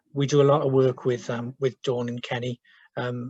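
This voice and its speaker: At a moderate pace, a man talks in a somewhat breathy voice with monotone, flat intonation. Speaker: social work team manager. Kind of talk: webinar presentation. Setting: video call from home. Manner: hesitant, many fillers.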